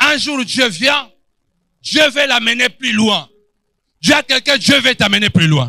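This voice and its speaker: Raised and projected, the voice has a bright, sharp tone, ordinary pitch variation, and a dry, close sound with no echo. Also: man. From Angola. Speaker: pastor. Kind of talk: sermon. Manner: animated.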